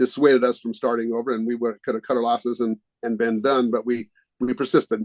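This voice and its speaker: A man speaks with an American accent at a medium pitch and a fairly quick pace. The sound is dry and close, with no echo. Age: 60s. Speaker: board game company founder. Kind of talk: interview. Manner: halting, many fillers.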